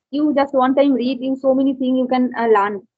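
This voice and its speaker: A high-pitched woman's voice in a Bengali accent, with monotone, flat intonation. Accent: Indian English, Bengali. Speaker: exam student practicing English. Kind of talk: casual chat. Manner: halting.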